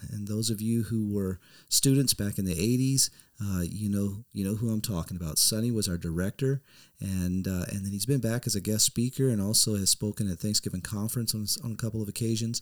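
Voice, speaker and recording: An ordinary speaking voice from a man, fairly low-pitched and fairly even in intonation, at a fairly quick pace on a very clean recording with a silent background. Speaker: podcast host. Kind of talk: casual interview.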